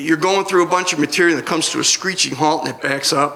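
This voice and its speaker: Against noticeable background noise and audible room echo, a man with an American accent speaks at a high pitch with ordinary pitch variation. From US Northeast (Rochester, New York). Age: 60s. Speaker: comedian. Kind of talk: stand-up. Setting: stage with audience.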